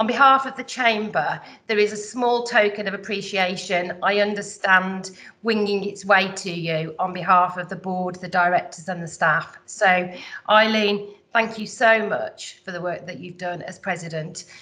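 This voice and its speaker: Speaking at a moderate pace with a West Midlands accent, a woman has a medium pitch, fairly even intonation and a bright, sharp tone. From West Midlands, England. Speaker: business chief executive, incoming chamber president. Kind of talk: formal address at annual general meeting. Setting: virtual online meeting. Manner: hesitant, many filler words.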